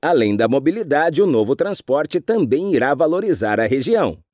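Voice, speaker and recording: The sound is dry and close with no echo, on a very clean recording with a silent background. A man speaks at a moderate pace and a fairly high pitch. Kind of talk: news reading. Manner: formal, steady, even newsreader delivery; clear, measured pace with neutral tone.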